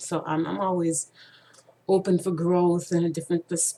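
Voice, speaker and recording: Fairly slow, fairly even intonation over noticeable background noise. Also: woman. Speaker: vlogger sharing personal stories. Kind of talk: personal monologue. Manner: halting, many fillers.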